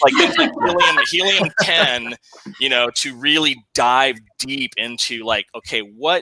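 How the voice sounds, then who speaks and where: Speaking at a fairly slow pace with a slight Southern US accent, a man is heard in a dry, close recording with no echo. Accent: slight Southern drawl. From Texas. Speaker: podcast host. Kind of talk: casual chat.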